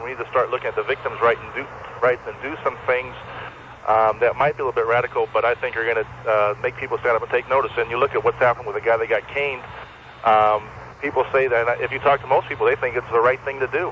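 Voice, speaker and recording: Very fast speech from a man comes over noticeable background noise. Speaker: radio caller. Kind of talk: call-in radio talk.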